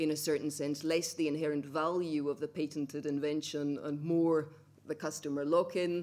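At a moderate pace, a woman talks in a very deep, low voice with a dark, mellow tone and monotone, flat intonation. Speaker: speaker. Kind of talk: conference talk. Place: hall. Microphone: podium.

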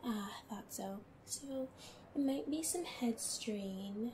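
Over noticeable background noise, a woman speaks very slowly in a fairly high pitch, her tone gentle and playful and her pitch varying in an ordinary way.

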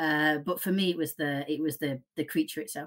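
The speaking moves at a moderate pace over a quiet background. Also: woman. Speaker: fan community guest. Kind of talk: casual chat. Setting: video call. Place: home room.

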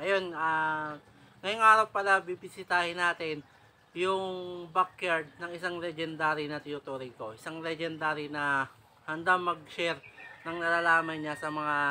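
With light background noise behind him, a man speaks at a fairly slow pace in a high-pitched, bright, sharp tone and fairly even intonation. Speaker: fish-keeping vlogger. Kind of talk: casual vlog chat. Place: garden. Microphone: camera far.

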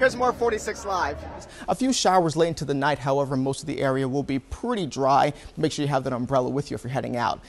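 This man talks at a very fast pace with a fairly high pitch. His intonation is lively, with light background noise behind him. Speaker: TV meteorologist. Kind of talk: TV weather report, live on location. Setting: outdoors.

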